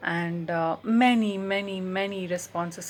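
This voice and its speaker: With a Telugu accent, a woman speaks at a medium pitch with fairly even intonation. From India, Bangalore. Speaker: writer and translator. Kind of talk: personal talk to camera. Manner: halting, many fillers.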